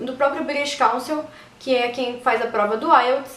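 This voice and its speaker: A woman's speech comes through with audible room echo and noticeable background noise. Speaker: YouTuber. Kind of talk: casual vlog talk. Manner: fast.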